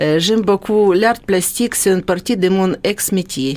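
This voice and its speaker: A woman speaks at a fairly slow pace with a slight Ukrainian accent and fairly even intonation. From Ukraine. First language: Ukrainian (speaking French). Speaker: former dentist, radio guest presenter. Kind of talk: radio interview. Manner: hesitant.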